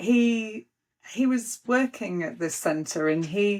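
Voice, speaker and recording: A woman speaks with a Yorkshire accent and ordinary pitch variation. The recording is very clean, with a silent background. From Yorkshire, northern England. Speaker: spirit medium. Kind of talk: casual chat. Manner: animated.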